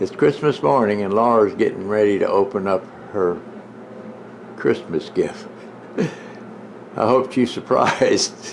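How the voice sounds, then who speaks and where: A man talks at a fairly slow pace, with long, frequent pauses. Noticeable background noise sits behind him. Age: 70s. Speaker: vlogger's husband. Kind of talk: casual chat.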